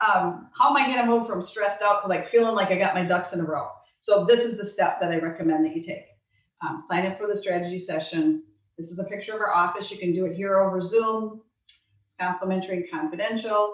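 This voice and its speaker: Rushing along at a very fast pace, a woman keeps a medium pitch with ordinary pitch variation. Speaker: estate planning attorney. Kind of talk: webinar presentation. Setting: video call.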